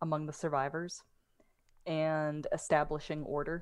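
In a very clean recording with a silent background, a woman speaks with a very deep, low pitch and flat, monotone intonation. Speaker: tabletop game player. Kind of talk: tabletop RPG game session, streamed.

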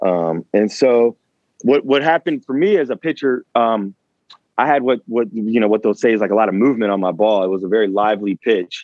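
Speaking with an American accent at a fairly quick pace, a man has an unremarkable speaking voice at medium pitch with ordinary pitch variation. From Richmond, Virginia. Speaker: personal trainer. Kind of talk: interview.

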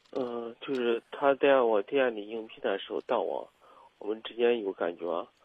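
Big swings in loudness mark this man's speech at a medium pitch. He keeps a moderate pace with ordinary pitch variation. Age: 30s. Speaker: caller, small business owner. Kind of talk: call-in confession. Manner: halting, repetitive.

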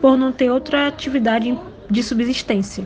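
At a moderate pace, a woman with a high pitch and fairly even intonation speaks over noticeable background noise. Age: 20s. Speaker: entrepreneur and educator. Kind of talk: personal testimony.

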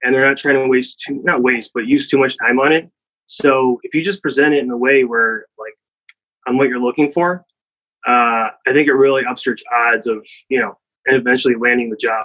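With a Midwestern US accent, a man talks at a moderate pace in a bright, sharp tone, his medium pitch carried by fairly even intonation. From US Midwest, Cleveland, Ohio. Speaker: startup founder. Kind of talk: interview.

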